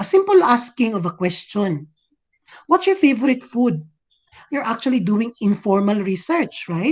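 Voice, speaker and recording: Pausing long and often, a woman with a Visayan Filipino accent speaks at a moderate pace with very wide pitch swings. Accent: Filipino (Cebuano) English. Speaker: teacher. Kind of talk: lecture. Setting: video call.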